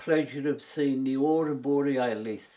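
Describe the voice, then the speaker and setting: Against a quiet background, a man talks at a fairly high pitch in a Birmingham accent. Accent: Birmingham (Brummie) English. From English West Midlands, Birmingham. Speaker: war veteran. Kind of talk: personal testimony. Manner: halting, with frequent repetitions.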